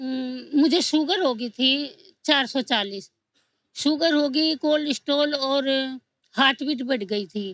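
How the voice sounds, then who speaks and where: Her pitch is high. This woman's voice shows ordinary pitch variation. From Haryana, Rohtak. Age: 60s. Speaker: audience member. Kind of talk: casual chat.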